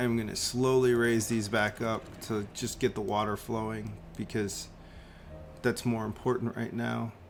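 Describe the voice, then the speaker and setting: Over music in the background, a man talks at medium pitch and a moderate pace in a flat monotone. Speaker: gaming youtuber. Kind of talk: gameplay commentary. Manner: casual.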